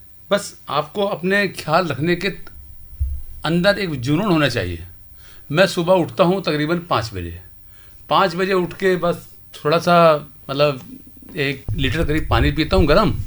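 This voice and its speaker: With vocal fry and ordinary pitch variation, a man speaks in a fairly high pitch. He leaves long, frequent pauses. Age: 60s. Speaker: senior citizen guest. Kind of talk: radio interview. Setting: studio.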